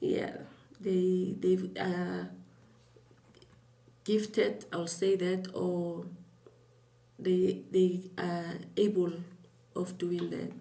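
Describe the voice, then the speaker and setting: A soft-spoken woman at a very slow pace, with long, frequent pauses and audible room echo. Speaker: YouTube creator. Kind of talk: scripted talk to camera.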